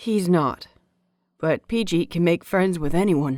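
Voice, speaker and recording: This is a put-on character voice in a calm, amused tone at a middle pitch. It moves at a fairly slow pace. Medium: read story. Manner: calm, gently amused.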